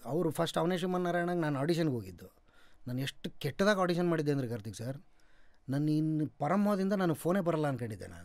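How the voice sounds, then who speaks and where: A man's intonation is lively, and the background behind him stays quiet. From North Karnataka, India. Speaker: actor; podcast guest, actor. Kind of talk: interview. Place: studio. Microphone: studio mic.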